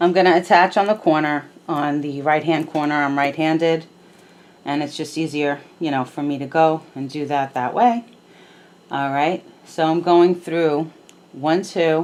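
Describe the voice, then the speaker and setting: A soft-spoken woman with a very deep, low voice talks at a moderate pace with fairly even intonation. She leaves long, frequent pauses. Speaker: crochet instructor. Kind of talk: tutorial. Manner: casual, hesitant with fillers.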